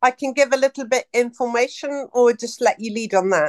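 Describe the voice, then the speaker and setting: A woman's high-pitched voice with ordinary pitch variation, dry and close with no echo. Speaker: caller asking a question. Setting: call.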